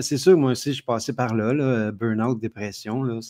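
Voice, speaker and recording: The voice has a Quebec accent. Its intonation is fairly even. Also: man. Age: 60s. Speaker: entrepreneur. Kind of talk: interview.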